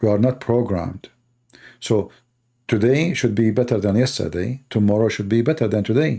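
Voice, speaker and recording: With a non-native accent, a man speaks at a moderate pace in a medium-pitched, dark, mellow tone of very even loudness. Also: ordinary pitch variation, very clean recording, silent background. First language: not English. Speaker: religious debater. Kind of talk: live debate show monologue. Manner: animated.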